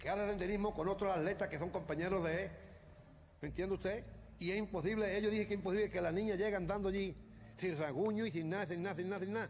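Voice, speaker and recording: Animated and very fast, a man talks at a high pitch. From Andalusia, Málaga province. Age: 60s. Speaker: grandfather of victim. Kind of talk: heated interview.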